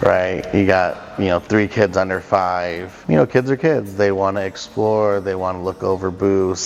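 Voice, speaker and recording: Amid noticeable background noise, a man speaks at a fairly slow pace in a very deep, low pitch with fairly even intonation. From Southern California. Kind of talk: interview answer. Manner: casual, hesitant with fillers.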